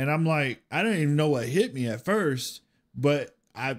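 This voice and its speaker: A man speaks at a fairly slow pace. Behind him the background is quiet. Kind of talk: personal storytelling during a reaction video. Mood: reflective, somber. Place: home room. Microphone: studio mic.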